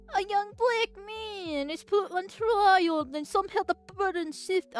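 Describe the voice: A woman mumbles in a put-on character voice at an extremely high pitch. Her pace is fairly slow.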